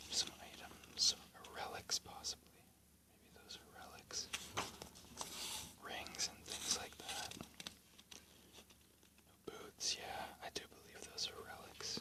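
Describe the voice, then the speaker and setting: Whispered speech, very slow and broken by long, frequent pauses, plays against noticeable background noise. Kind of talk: whispered ASMR book flip-through narration; casual talk to camera. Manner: whispered, soft-spoken.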